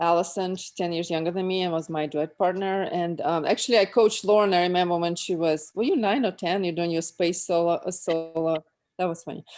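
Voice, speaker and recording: Her pitch fairly low and her intonation fairly even, a woman talks at a fairly quick pace with a Russian accent. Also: hardly any pauses. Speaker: former athlete. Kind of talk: casual chat.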